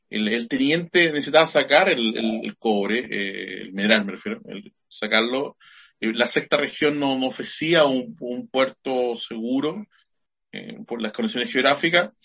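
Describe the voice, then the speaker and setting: A man with an unremarkable speaking voice talks at a medium pitch and a fairly slow pace. His intonation is lively. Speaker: high school teacher and podcast co-host. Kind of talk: casual chat.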